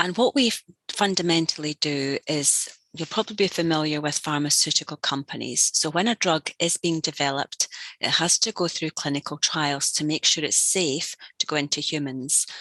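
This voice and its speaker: A woman's very deep, low voice at a moderate pace, ordinary in pitch variation, with a dry, close sound and no echo. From Scotland. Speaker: learning and development executive. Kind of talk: interview.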